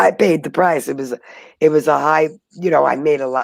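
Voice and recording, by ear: Low-pitched for a woman, her voice carries vocal fry and ordinary pitch variation. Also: fairly quick pace.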